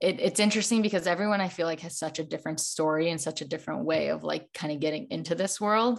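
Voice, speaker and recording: With an American accent and vocal fry, a woman speaks at a fairly quick pace and fairly low pitch, with ordinary pitch variation over a quiet background. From Chicago. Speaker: holistic nutritionist and wellness creator. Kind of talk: casual chat.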